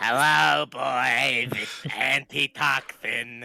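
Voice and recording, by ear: A man's put-on character voice, raspy and husky, medium in pitch, at a very slow pace with very wide pitch swings, in a dry, close sound with no echo.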